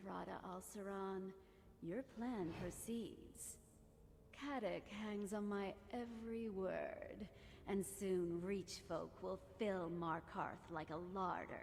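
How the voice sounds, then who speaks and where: The speaker uses a put-on character voice at a very slow pace. Background noise is clearly audible. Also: woman, medium pitch for a woman. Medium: video game. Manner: cool, measured.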